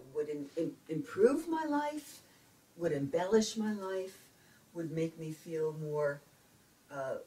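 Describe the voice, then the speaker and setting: A woman in a New York accent, very deep and low in pitch, somewhat breathy with a dark, mellow tone, ordinary pitch variation and a very slow pace. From Brooklyn, New York. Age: 70s. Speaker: retired speech pathologist. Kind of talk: interview answer.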